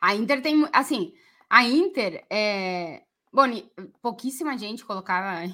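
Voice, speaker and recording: Bright and sharp in tone, a woman's fairly high voice moves at a fairly slow pace with long, frequent pauses, very wide pitch swings and big swings in loudness, on a very clean recording with a silent background. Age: 40s. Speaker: football podcast co-host. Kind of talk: casual chat.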